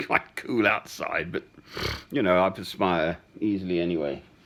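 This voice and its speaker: Here a man talks at a moderate pace. He has an English accent. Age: 60s. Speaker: man recording voice messages to a woman. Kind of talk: personal voice message. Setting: at home. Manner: halting.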